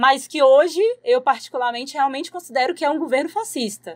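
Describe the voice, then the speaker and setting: A woman's voice with ordinary pitch variation, a normal speaking voice. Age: 20s. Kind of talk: casual interview.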